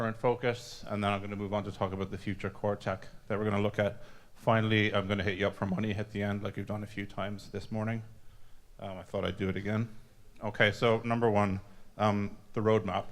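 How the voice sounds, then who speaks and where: At a very fast pace, a man speaks at fairly low pitch in a monotone, flat intonation. The recording is very clean, with a silent background. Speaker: software developer giving conference talk. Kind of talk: conference presentation. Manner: halting, many fillers and restarts.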